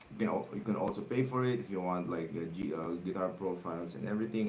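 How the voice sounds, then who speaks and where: With audible room echo, a man talks at a very fast pace in a Filipino accent, using ordinary pitch variation. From Philippines. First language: Tagalog. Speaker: guitar teacher. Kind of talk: livestream guitar lesson, reading viewer comments. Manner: halting, many fillers and repetitions.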